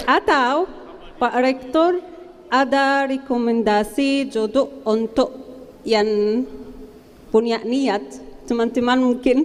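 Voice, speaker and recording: Playful and high-pitched, a woman with an Arabic accent speaks very slowly at very even loudness, with ordinary pitch variation, long, frequent pauses, and noticeable background noise. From Palestine. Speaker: master's graduate. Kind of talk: graduation speech. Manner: playful, loud.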